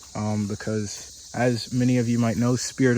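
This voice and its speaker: With a medium pitch, a man talks at a moderate speed. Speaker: car-dwelling vlogger. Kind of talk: video tour of car setup. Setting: inside a car. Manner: monotone.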